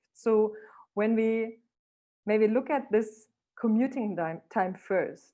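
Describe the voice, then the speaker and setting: Fairly high in pitch, a woman speaks with a non-native accent. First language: not English. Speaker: keynote speaker. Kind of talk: online talk.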